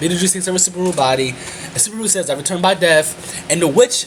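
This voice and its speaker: High-pitched man with lively intonation amid noticeable background noise. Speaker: anime reviewer. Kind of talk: video review monologue. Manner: fast.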